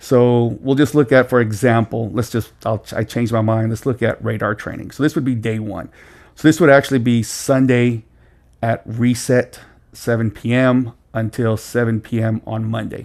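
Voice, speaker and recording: A man's medium-pitched voice holds a fairly even intonation. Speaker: gaming tutorial creator. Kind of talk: tutorial. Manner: fast.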